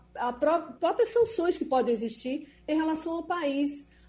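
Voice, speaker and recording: Lively intonation marks a woman's fairly slow delivery. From Brazil. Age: 40s. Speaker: foreign correspondent. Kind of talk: radio news commentary.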